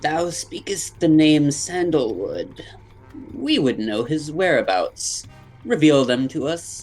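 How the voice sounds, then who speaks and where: A man uses a put-on character voice at a fairly high pitch. He talks at a fairly slow pace over faint music in the background. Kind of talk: archaic, formal. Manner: imperious, demanding.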